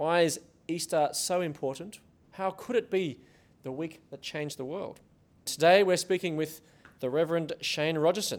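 A man with an Australian accent and a high pitch, at a moderate pace, with big swings in loudness and long, frequent pauses. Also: ordinary pitch variation. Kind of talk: live show hosting and interview. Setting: stage with live audience.

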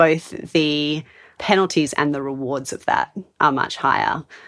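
A woman with an Australian accent, very deep, low pitch, bright, sharp tone and monotone, flat intonation over a quiet background. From Australia, Sydney. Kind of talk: casual interview.

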